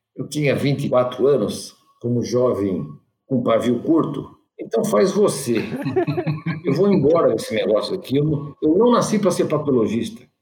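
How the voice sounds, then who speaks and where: Audible room echo surrounds a man's voice. He talks at a fairly slow pace with very wide pitch swings. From São Paulo city, Brazil. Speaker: physician and entrepreneur. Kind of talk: casual interview.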